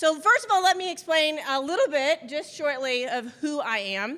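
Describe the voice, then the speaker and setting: A woman's raised, projected voice, bright and sharp in tone, at a moderate pace. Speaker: business coach and speaker. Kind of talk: motivational talk to an audience. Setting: stage with audience. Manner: loud; animated.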